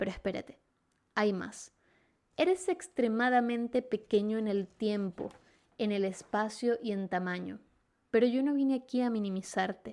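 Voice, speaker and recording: A woman with a fairly high pitch speaks at a fairly slow pace, leaving long, frequent pauses. Her tone is animated with ordinary pitch variation, on a very clean recording with a silent background. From Venezuela. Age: 20s. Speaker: podcast host. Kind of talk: personal monologue.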